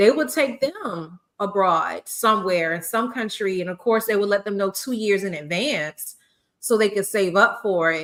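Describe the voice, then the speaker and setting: A woman talks at a medium pitch in a South Carolina accent. Her pace is moderate and her intonation lively. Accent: Southern US (South Carolina). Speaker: podcast host, former teacher. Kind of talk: casual chat. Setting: live stream podcast.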